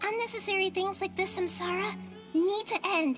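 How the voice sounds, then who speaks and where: Clear music plays behind a squeaky, female-sounding put-on character voice delivered at a moderate pace. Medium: video game. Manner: soft, measured.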